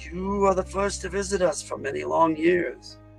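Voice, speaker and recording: Soft-spoken, a man uses a put-on character voice over clear music in the background. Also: moderate pace. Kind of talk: formal, welcoming.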